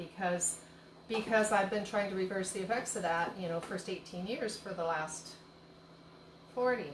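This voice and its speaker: Over noticeable background noise, a woman speaks with fairly even intonation. Echo from the room can be heard. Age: 60s. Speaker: tea shop owner and cooking host. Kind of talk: live-stream cooking demo and casual chat. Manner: chatty, rambling with many fillers.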